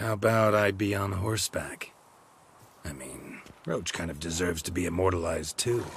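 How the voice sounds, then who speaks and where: At a moderate pace, a man delivers a put-on character voice with a very deep, low pitch. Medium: video game. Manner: terse, deadpan.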